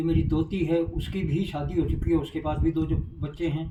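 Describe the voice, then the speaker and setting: This is a man speaking. His pitch is fairly high. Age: 70s. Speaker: direct-selling distributor. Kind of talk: life story interview.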